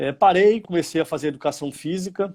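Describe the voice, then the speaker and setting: Pitched high, a man speaks at a moderate pace with ordinary pitch variation. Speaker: youth football coordinator. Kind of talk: career talk in live online event. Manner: hesitant, frequent repetitions.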